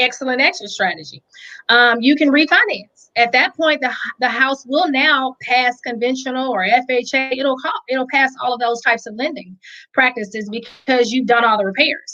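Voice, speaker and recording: A woman's raised, projected voice, high in pitch and bright and sharp in tone, with ordinary pitch variation. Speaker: real estate investing educator. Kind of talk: livestream tutorial. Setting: live stream. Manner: fast.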